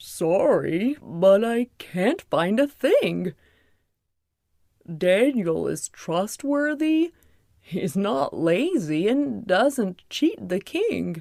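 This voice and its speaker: A woman's put-on character voice at medium pitch and a very slow pace, on a very clean recording with a silent background. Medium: audio drama. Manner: dim, bumbling.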